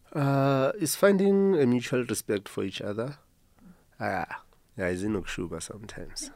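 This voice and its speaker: A man speaks at medium pitch in a South African accent. His pitch swings very widely. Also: moderate pace. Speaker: band guitarist. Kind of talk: radio interview. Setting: studio.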